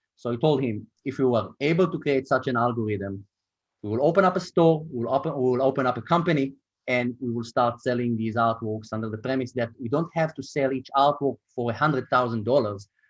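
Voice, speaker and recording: With an Israeli accent, the speaker talks at a fairly quick pace. Pitch variation is ordinary. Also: man, medium pitch for a man. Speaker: startup co-founder and marketing executive. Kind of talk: interview.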